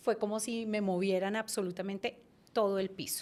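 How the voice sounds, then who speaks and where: With a Bogotá accent, a woman of medium pitch speaks in a very clean recording with a silent background. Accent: Bogotá Colombian Spanish. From Colombia, Bogotá. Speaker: branding and communication consultant. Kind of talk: interview.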